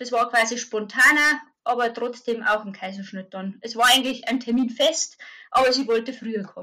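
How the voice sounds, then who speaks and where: A woman talks at a moderate pace in a high pitch. Her tone is bright and sharp. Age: 30s. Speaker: mother sharing birth experience. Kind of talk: interview testimony. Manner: halting.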